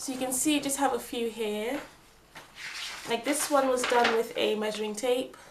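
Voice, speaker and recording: Amid noticeable background noise, a woman speaks at a moderate pace with long, frequent pauses. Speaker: planner crafting youtuber. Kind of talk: craft tutorial. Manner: casual, many fillers.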